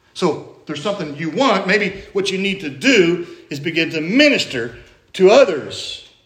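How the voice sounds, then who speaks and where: At a moderate pace, a man speaks with an American accent and lively intonation. Audible room echo colors the recording. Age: 50s. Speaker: pastor. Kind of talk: sermon. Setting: church.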